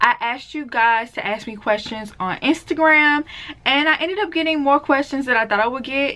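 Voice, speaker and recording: Talking at a very fast pace with lively intonation, a woman with a Southern accent is heard over noticeable background noise. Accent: Southern, sounds country. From US South, deep south Mississippi. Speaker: beauty and natural hair vlogger. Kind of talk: casual Q&A vlog.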